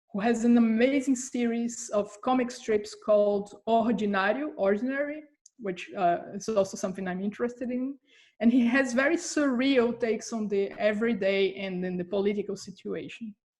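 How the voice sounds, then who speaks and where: In a Brazilian Portuguese accent, a woman with a fairly high pitch speaks at a moderate pace, somewhat breathy, with ordinary pitch variation. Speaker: comics scholar. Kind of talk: interview. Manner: hesitant, many fillers.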